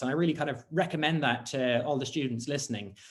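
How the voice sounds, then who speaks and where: There is audible room echo around a man with a Dublin accent. His voice sits fairly high, with ordinary pitch variation. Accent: Dublin Irish. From Ireland, Dublin. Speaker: scientist. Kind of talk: conference talk. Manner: hesitant with many fillers.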